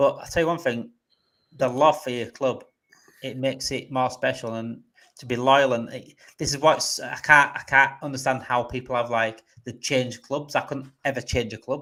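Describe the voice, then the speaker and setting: A man in a northern English accent speaks at a medium pitch with a bright, sharp tone and monotone, flat intonation. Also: moderate pace. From northern England. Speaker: football fan channel host. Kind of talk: live stream chat.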